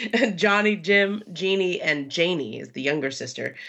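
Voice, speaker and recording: Vocal fry runs through the voice at a moderate pace. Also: woman. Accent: American. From Los Angeles, California. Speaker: sports journalist. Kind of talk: casual interview. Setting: remote from Southern California.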